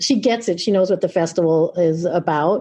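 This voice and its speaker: Against a quiet background, a woman talks at a moderate pace with a medium pitch and ordinary pitch variation. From New York, Long Island. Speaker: music venue executive. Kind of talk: podcast interview. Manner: animated.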